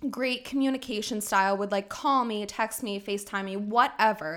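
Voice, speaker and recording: In a very clean recording with a silent background, a woman talks with a bright, sharp tone at a medium pitch and ordinary pitch variation. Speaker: podcast co-host. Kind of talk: casual chat.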